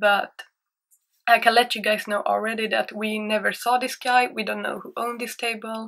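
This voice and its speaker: A woman with a Swedish accent speaks at a moderate pace in a fairly high pitch, her tone bright and sharp. Her intonation stays fairly even against a quiet background. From Sweden. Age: 20s. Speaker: YouTuber. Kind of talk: storytime monologue. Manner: hesitant, insecure. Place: home room. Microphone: webcam.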